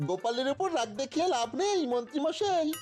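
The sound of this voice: A cartoonish character voice at a moderate pace, with clear background noise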